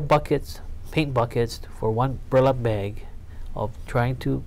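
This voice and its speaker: With a Hawaiian accent, a man speaks at a medium pitch with fairly even intonation. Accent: Hawaii English. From Hawaii, Honolulu. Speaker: politician. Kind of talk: oral history interview.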